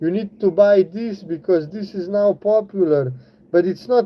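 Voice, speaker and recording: Speaking at a fairly slow pace, a man uses a high-pitched voice. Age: 30s. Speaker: craftsman and small business owner. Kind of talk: livestream chat while working. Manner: casual, with false starts.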